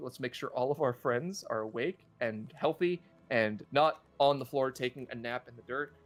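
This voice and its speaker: A man with an unremarkable speaking voice, a fairly high pitch, ordinary pitch variation, big swings in loudness, a moderate pace and hardly any pauses. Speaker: gaming streamer leading a raid. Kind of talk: live gameplay commentary. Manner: casual, filler-heavy.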